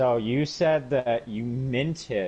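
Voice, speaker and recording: The pace is very slow. A man speaks with ordinary pitch variation. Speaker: streamer. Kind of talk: casual chat. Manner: halting.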